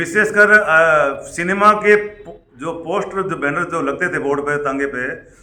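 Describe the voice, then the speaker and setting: With hardly any pauses, a high-pitched man speaks with ordinary pitch variation in a space with audible room echo. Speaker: former cinema poster advertiser. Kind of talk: interview. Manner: halting, many fillers.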